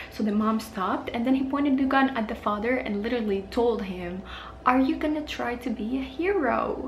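The room has an audible echo, with light background noise. Pitch moves in an ordinary way at a moderate pace. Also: woman. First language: not English. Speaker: true crime YouTuber. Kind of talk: casual true crime storytelling to camera. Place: home room.

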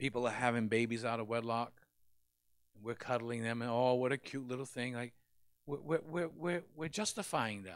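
The background is quiet. A man speaks at medium pitch and a moderate pace, with ordinary pitch variation. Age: 60s. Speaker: pastor. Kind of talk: sermon. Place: church. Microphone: handheld.

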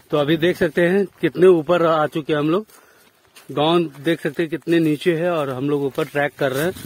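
A man talks at a moderate pace in a fairly high pitch, his intonation fairly even.

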